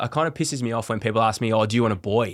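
Speaking at a very fast pace in an Australian accent, a man keeps a medium pitch on a very clean recording with a silent background. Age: 30s. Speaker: father of two talking about mental health. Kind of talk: casual chat. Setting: studio.

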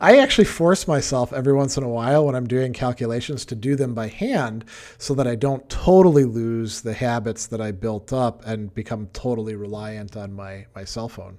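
In a very clean recording with a silent background, a man with a normal speaking voice talks at medium pitch with ordinary pitch variation, hardly any pauses and big swings in loudness. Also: moderate pace. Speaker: philosophy podcast co-host. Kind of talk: casual chat. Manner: fluent, explanatory, repeats words.

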